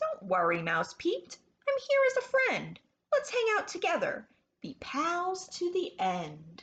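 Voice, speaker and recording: Putting on a squeaky character voice, a woman talks fairly slowly at an extremely high pitch. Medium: read story. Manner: timid, hesitant.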